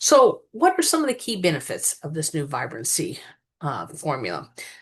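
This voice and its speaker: The speaker has an American accent and a moderate pace. Loudness swings widely against a quiet background. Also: woman. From US Midwest. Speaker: wellness product presenter. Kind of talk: product overview talk.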